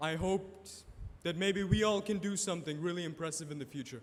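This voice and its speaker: A man talking at a fairly quick pace with ordinary pitch variation. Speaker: first-year student. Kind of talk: impromptu speech. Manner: slurring words.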